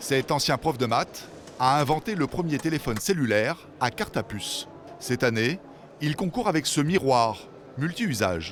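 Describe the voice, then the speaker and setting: With music playing behind him, a man talks at a moderate pace in a fairly high voice that swings very widely in pitch. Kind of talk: documentary narration.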